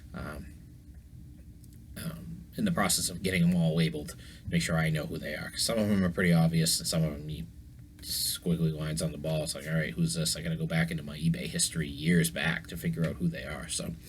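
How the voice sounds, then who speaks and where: Vocal fry runs through very fast speech with ordinary pitch variation and audible room echo. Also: man, very deep, low pitch for a man. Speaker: sports memorabilia collector, YouTuber. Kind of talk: casual vlog talk. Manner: hesitant, many fillers.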